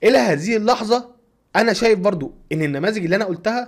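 A man speaks at a moderate pace with a somewhat breathy voice. The background is quiet. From Egypt. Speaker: YouTube content creator. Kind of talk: tutorial. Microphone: studio mic.

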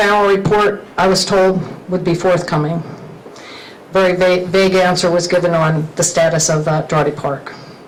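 A woman's fairly low, monotone voice at a moderate pace and very even loudness, with noticeable background noise and audible room echo. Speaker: resident speaking at public comment. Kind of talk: public comment. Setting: county council meeting.

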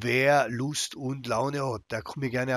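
The sound is dry and close with no echo as a man talks at a medium pitch. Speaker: gaming YouTuber. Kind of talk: live game commentary. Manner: less enthusiastic than usual.

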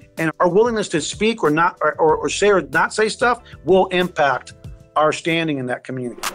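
Faint music plays behind a man who speaks at a fairly quick pace, with a high pitch and ordinary pitch variation. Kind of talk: interview answer. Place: office. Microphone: video call.

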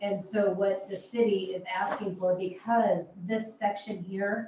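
In a room with audible echo, a woman speaks at medium pitch with a dark, mellow tone and fairly even intonation.

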